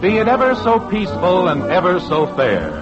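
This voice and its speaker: Music in the background behind a man's upbeat, fairly slow voice with very wide pitch swings. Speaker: radio announcer. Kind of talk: 1950s radio drama announcer/narrator. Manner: upbeat, polished announcer delivery.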